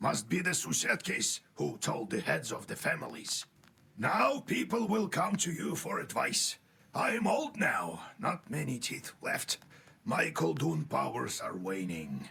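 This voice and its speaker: Someone uses a raspy, put-on character voice at a fairly slow pace. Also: man. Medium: video game. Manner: fussy, mentoring.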